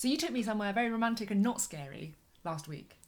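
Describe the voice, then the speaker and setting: A woman with a fairly high voice speaks with very wide swings in pitch over noticeable background noise. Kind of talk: podcast conversation.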